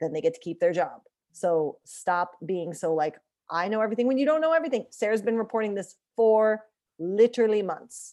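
The speaker has a dark, mellow tone and lively intonation, moving at a fairly quick pace. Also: woman. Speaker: hockey podcast host. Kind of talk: casual chat. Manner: animated, joking.

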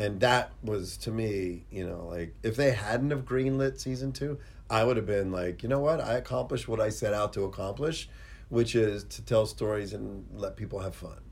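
The speaker is somewhat breathy, moving at a moderate pace with ordinary pitch variation. Room echo is audible. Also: man, fairly low pitch for a man. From Pittsburgh, US. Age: 50s. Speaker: special effects artist. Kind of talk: casual interview chat. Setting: studio.

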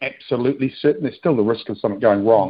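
This man has an unremarkable speaking voice with fairly even intonation. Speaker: sports club CEO. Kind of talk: radio interview.

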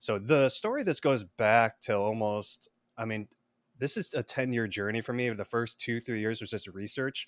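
Dry and close with no echo, a man with an American accent and an unremarkable speaking voice, medium pitch, fairly even intonation and moderate pace, on a very clean recording with a silent background. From US Midwest (Chicago suburbs, Illinois). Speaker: filmmaker and screenwriter. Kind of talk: interview.

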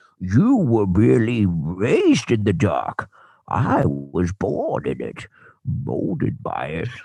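A man puts on a character voice at a fairly low pitch and a fairly slow pace.

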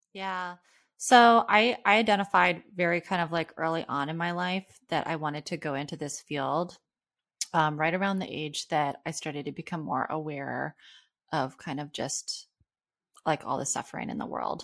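With a calm tone and fairly low pitch, a woman speaks at a moderate pace with ordinary pitch variation. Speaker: clinical psychologist. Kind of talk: casual chat.

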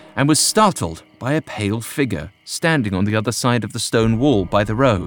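A man talks at a moderate speed with lively intonation while music plays behind him. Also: hardly any pauses. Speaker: narrator. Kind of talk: scripted ghost story narration, read aloud. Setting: studio. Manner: dramatic, measured.

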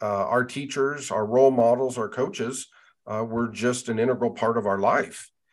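With an American accent, a man speaks in an unremarkable speaking voice at a moderate pace, with ordinary pitch variation and a quiet background. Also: medium pitch for a man. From western Nebraska, US. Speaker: university department chair, teacher educator. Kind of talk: interview.

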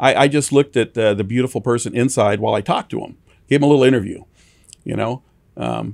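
With an American accent and vocal fry, the speaker talks at a very fast pace with fairly even intonation. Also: man, medium pitch for a man. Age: 60s. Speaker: towing company owner. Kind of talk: interview. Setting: studio.

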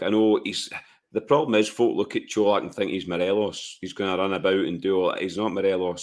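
A man's low voice at a fairly quick pace, with fairly even intonation

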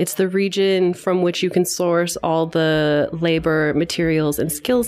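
Fairly even intonation carries a Canadian accent at a moderate pace over noticeable background noise. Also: woman. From London, Ontario. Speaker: founder of regional textile network. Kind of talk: casual interview conversation. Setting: quiet room at a conference.

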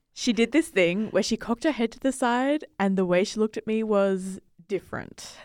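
A woman with a normal speaking voice talks at a moderate pace in a fairly high pitch with ordinary pitch variation. The recording is very clean and dry, close and free of echo, with a silent background. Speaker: producer. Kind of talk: casual chat.

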